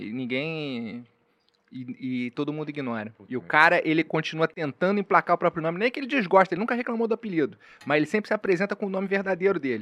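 Fast and lively, a man with a strong Carioca accent speaks at a very fast pace and a fairly high pitch, in a dry, close sound with no echo. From Rio de Janeiro. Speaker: comedian. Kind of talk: casual chat.

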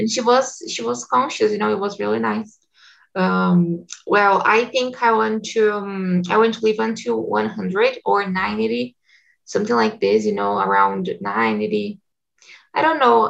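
Here a woman speaks with a Portuguese accent. She keeps a fairly slow pace. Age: 20s. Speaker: English teacher and community manager. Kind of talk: casual group conversation practice. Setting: video call.

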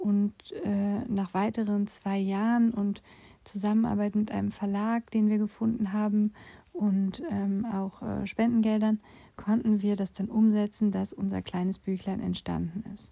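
A woman speaks at a fairly slow pace in a somewhat breathy voice with a dark, mellow tone. Her intonation stays monotone and flat. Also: medium pitch for a woman. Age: 40s. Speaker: podcast host, former nurse and patient advocate. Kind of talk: personal monologue. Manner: casual, with frequent fillers.

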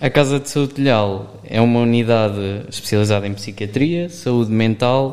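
Using a plain, everyday voice of medium pitch, a man talks at a moderate pace with ordinary pitch variation. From Portugal, Aveiro area. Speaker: volunteer. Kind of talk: interview. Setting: studio.

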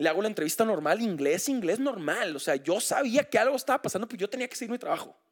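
With an animated tone, a man speaks in lively intonation. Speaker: sports broadcaster. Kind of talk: casual chat. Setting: home.

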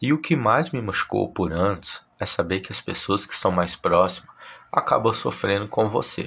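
A man talks at a moderate pace in a fairly low pitch. He has a normal speaking voice. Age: 30s. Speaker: podcast host. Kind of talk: personal monologue.

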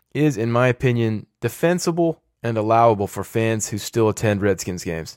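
A man with a normal speaking voice talks at a medium pitch and a fairly quick pace, with lively intonation and hardly any pauses. The recording is very clean with a silent background, and the sound is dry and close with no echo. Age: 30s. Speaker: sports podcaster. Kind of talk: solo podcast commentary.

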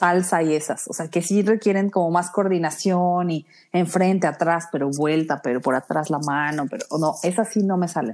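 Over a silent background in a very clean recording, a woman with an unremarkable speaking voice talks at a moderate pace with a fairly low pitch, ordinary pitch variation and hardly any pauses. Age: 30s. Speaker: podcast co-host. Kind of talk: casual chat.

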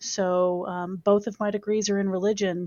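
A woman with a slight Southern US accent speaks with fairly even intonation. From US South, Chesapeake, Virginia. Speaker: university Title IX coordinator. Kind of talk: interview. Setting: studio.

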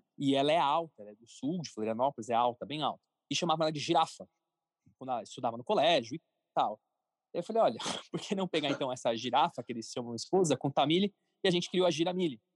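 A man at a fairly high pitch, very fast with long, frequent pauses, lively intonation and big swings in loudness, on a very clean recording with a silent background and a dry, close sound with no echo. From São Paulo, Brazil. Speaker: entrepreneur, cartoon creator. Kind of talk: interview. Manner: casual.

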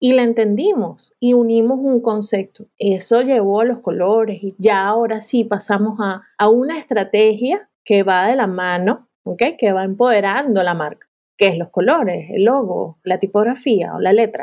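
A woman with a plain, everyday voice speaks at a fairly high pitch. Her pace is fairly slow, with hardly any pauses and ordinary pitch variation. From Venezuela. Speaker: graphic designer. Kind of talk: casual interview conversation.

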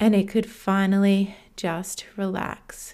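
A woman with an Australian accent speaks at a medium pitch in a dark, mellow tone, her intonation monotone and flat, on a very clean recording with a silent background. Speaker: podcast host. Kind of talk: solo monologue podcast.

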